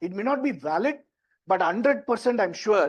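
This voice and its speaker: Lively intonation marks this voice with an Indian accent. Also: man. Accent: Indian English (Tamil). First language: Tamil. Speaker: tech entrepreneur and workshop presenter. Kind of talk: workshop talk. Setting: stage with audience, also streamed online. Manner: conversational.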